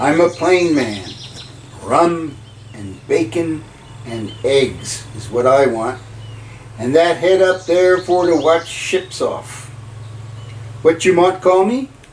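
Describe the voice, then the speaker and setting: A gruff, put-on character voice from a man, fairly high in pitch, with lively intonation, a very slow pace and long, frequent pauses. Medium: read story. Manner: rough, gruff, commanding.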